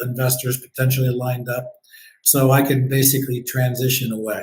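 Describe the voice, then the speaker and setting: A somewhat breathy, medium-pitched man with an American accent and monotone, flat intonation. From US Midwest, northeast Ohio near Cleveland. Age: 60s. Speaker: event designer and business owner. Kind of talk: podcast interview.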